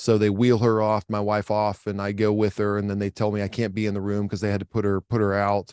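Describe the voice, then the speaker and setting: Very fast, monotone, flat delivery in an American accent, hardly any pauses, dry and close with no echo. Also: man, fairly low pitch for a man. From Oklahoma. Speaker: tech company co-founder. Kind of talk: podcast interview.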